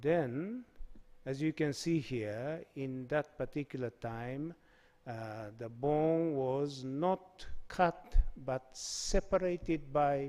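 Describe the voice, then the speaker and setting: This man has a fairly high pitch and ordinary pitch variation, and he speaks at a very slow pace. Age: 70s. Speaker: surgeon. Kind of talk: conference presentation. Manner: halting.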